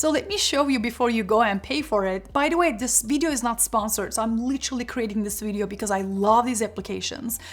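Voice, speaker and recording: Somewhat breathy and fairly high-pitched, a woman speaks at a fairly quick pace with ordinary pitch variation. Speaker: career and productivity youtuber. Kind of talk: tutorial. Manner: fast.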